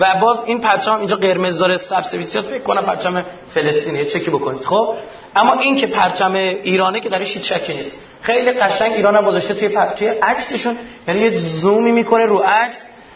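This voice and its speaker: At a fairly quick pace, a man talks at a high pitch with ordinary pitch variation amid noticeable background noise and audible room echo. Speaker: lecturer. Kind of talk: lecture. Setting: stage with audience.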